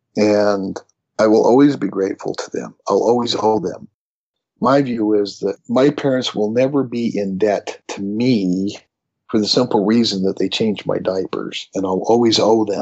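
At a moderate pace, a man talks with fairly even intonation. He has an ordinary speaking voice, fairly low in pitch. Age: 50s. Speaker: theologian and author. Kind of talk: casual interview discussion.

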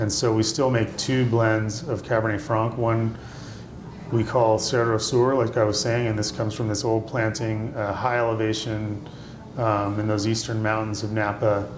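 Flat, monotone speech is heard with audible room echo and noticeable background noise. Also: man, medium pitch for a man, moderate pace. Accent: American. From US Midwest, Indiana. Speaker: winemaker. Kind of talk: interview. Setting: restaurant.

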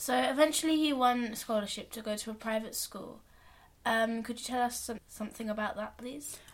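Big swings in loudness from a woman with a normal speaking voice, fairly high in pitch, fairly quick in pace and fairly even in intonation. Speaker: podcast interviewer. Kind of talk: interview questions.

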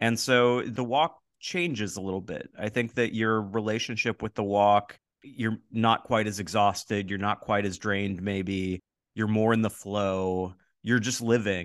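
Against a quiet background, a man speaks in a plain, everyday voice at a fairly low pitch and fairly slow pace, with fairly even intonation and a dry, close sound with no echo. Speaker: podcast host. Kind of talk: casual interview.

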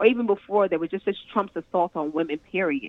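A woman with an ordinary speaking voice and an American accent, lively in intonation and fairly quick in pace. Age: 50s. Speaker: education activist. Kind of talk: radio interview.

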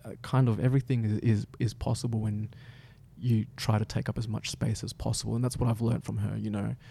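At a very fast pace, a man speaks in a medium pitch with fairly even intonation. His tone is dark, mellow and somewhat breathy. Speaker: dancer and storyteller. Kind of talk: casual interview chat.

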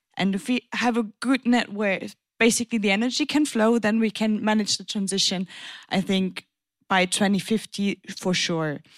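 A woman with a German accent talks at a moderate pace and a fairly high pitch, with ordinary pitch variation. The recording is very clean, dry and close, with a silent background and no echo. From Germany, German-French border region. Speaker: politician. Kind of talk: panel discussion.

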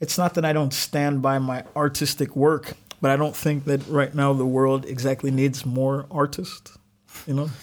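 A man talks at a fairly slow pace with a fairly high pitch. He has a normal speaking voice. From Alabama, US South. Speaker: artist and musician. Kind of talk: casual interview.

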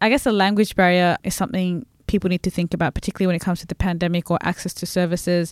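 In a very clean recording with a silent background and a dry, close sound with no echo, a woman with a fairly low pitch talks very fast, hardly pausing, with fairly even intonation. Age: 20s. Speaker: bicultural liaison officer and student. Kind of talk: casual chat. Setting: studio.

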